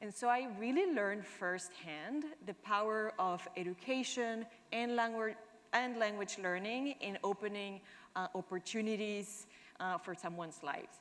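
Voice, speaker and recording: In a Spanish accent, a woman talks at a medium pitch and moderate pace with ordinary pitch variation. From Argentina. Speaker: product manager. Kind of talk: conference talk.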